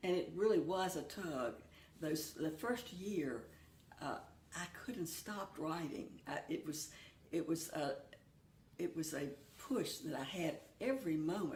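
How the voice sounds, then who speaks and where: Speaking at a fairly slow pace with long, frequent pauses, a woman uses a fairly low pitch and lively intonation, with audible room echo. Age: 80s+. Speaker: church member and hymn writer. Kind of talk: interview.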